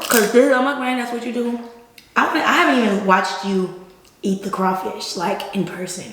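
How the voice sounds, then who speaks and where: Animated in tone, a woman with a medium pitch talks fairly quickly with ordinary pitch variation, amid noticeable background noise and audible room echo. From Texas, Houston area (Missouri City). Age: 20s. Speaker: college graduate, former cheerleader, YouTube guest. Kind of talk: casual chat during eating video.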